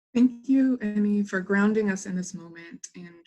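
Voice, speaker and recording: Speaking at a fairly slow pace, a woman with a medium-pitched, somewhat breathy voice and a dark, mellow tone uses ordinary pitch variation. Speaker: webinar presenter. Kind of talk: scripted presentation. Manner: reading from a script.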